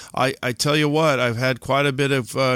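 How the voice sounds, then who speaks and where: A man with an unremarkable speaking voice at a moderate pace and fairly even intonation, on a very clean recording with a silent background and a dry, close sound without echo. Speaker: podcast host. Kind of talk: casual podcast interview.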